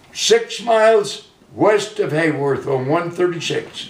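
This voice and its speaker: A man with a high-pitched voice speaks at a very slow pace. Audible room echo fills the recording. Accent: American. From US Midwest, central Illinois. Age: 80s+. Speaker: retired farmer. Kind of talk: oral history interview. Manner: halting.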